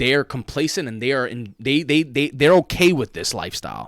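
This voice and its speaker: On a very clean recording with a silent background, a man with a New York accent talks at a fairly quick pace, animated in tone and lively in intonation. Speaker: podcast co-host and teacher. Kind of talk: casual chat.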